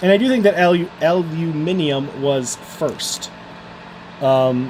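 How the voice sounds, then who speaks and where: Over noticeable background noise, a man with an American accent speaks at a very slow pace in a fairly high voice with lively intonation. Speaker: electronics repair youtuber. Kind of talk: live stream chat while repairing. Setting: live stream.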